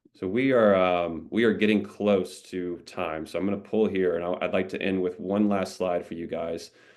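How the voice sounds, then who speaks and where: A man speaks in a very deep, low voice with fairly even intonation and hardly any pauses against a quiet background. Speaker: company representative hosting webinar. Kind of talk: webinar Q&A and sales pitch. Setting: video call webinar. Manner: fast.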